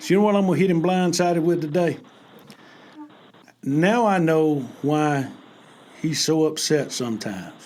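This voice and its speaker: Someone with a Southern US accent speaks at a moderate pace with ordinary pitch variation and long, frequent pauses, amid audible room echo. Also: man, fairly high pitch for a man. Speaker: basketball podcast host. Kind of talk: casual podcast chat. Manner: animated.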